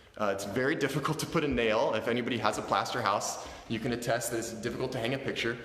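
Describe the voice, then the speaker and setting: Talking at a very fast pace with hardly any pauses, a man with a medium pitch and ordinary pitch variation is heard amid noticeable background noise and audible room echo. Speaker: real estate agent. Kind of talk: virtual open house tour. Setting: walking through house on video stream.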